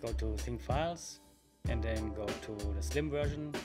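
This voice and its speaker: A man speaks over music playing loudly behind him. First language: German. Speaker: tutorial maker. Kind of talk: software tutorial narration. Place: home room. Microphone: webcam.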